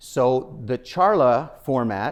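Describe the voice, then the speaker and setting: A man with a Spanish accent speaks at a medium pitch with lively intonation. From Nicaragua, raised in Washington DC and rural Illinois. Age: 60s. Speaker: nonprofit foundation president, keynote speaker. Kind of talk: keynote speech. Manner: talkative, with many fillers and restarts.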